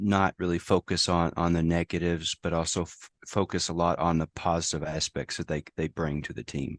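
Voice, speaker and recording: A man with an American accent speaks in a very deep, low voice. The sound is dry and close with no echo, over a quiet background. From United States. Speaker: safety professional. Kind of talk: interview conversation. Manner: halting, many fillers and repetitions.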